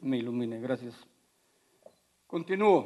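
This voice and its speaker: A man's dark, mellow tone in a Mexican accent. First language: Otomi (speaking Spanish). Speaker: politician. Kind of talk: debate speech. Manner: formal.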